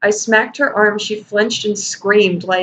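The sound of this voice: Unforced voice, reading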